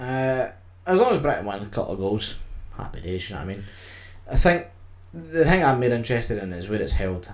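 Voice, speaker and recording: With a Scottish accent, a man with a fairly low voice talks at a fairly quick pace, his pitch swinging very widely and his loudness rising and falling sharply, broken by long, frequent pauses, in a room with audible echo. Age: 20s. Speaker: podcast co-host. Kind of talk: casual chat.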